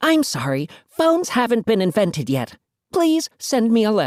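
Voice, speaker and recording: Someone uses a put-on character voice with very wide pitch swings. The pace is moderate and the loudness very even. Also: woman, fairly high pitch for a woman. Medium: read story.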